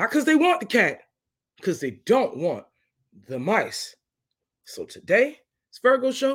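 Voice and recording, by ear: Speaking slowly at a high pitch, the man has very wide pitch swings, a fairly bright tone and a slightly husky edge. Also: very clean recording, silent background.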